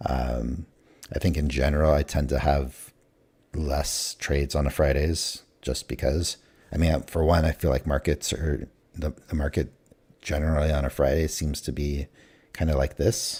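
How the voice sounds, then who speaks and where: A man with an American accent speaks in a very deep, low voice with a dark, mellow tone and vocal fry. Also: fairly even intonation, moderate pace. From California. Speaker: day trader livestreamer. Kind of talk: casual live-stream commentary. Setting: live stream. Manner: hesitant, many fillers.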